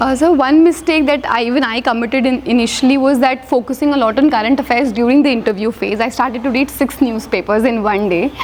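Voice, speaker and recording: A woman talks at a fairly quick pace in a high pitch, with ordinary pitch variation. Noticeable background noise runs underneath. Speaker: civil service exam topper. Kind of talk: interview. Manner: fast.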